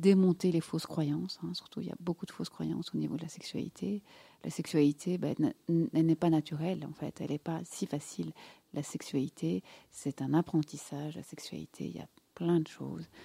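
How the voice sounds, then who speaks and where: A woman's very deep, low voice, dark and mellow with vocal fry, at a moderate pace, with ordinary pitch variation, big swings in loudness, and a dry, close sound with no echo. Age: 50s. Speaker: gynecologist and sexologist. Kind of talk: casual interview. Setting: studio.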